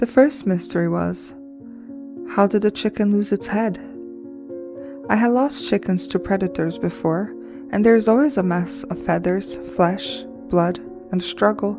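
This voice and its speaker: With music in the background, a woman with a non-native accent speaks at a moderate pace, taking long, frequent pauses. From Brazil. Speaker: crafter and storyteller. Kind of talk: personal paranormal story told to camera. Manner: stuttering.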